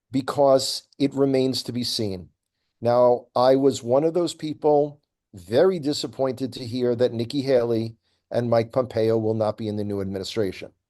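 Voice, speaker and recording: A man with an American accent speaks at a medium pitch in a dark, mellow tone, with ordinary pitch variation. His pace is moderate, and the background is quiet. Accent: American accent noticed by Israelis. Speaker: tour guide and commentator. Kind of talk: interview commentary.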